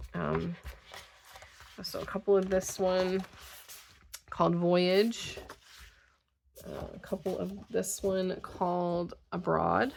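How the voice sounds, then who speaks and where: Speaking very slowly, a woman leaves long, frequent pauses. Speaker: craft video creator. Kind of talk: casual haul video talk. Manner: hesitant, many fillers.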